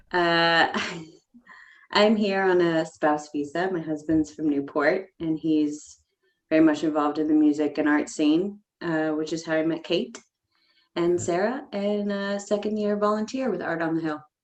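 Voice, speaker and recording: A woman with an American accent and an unremarkable speaking voice talks at a moderate pace, her fairly low pitch showing ordinary variation. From United States. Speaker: arts volunteer. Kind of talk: casual chat. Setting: pub basement.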